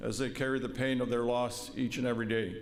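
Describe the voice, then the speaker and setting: With a Canadian accent, a man speaks amid noticeable background noise and audible room echo. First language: Woodland Cree. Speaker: vice-regal representative and police veteran. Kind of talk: formal ceremonial speech. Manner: formal.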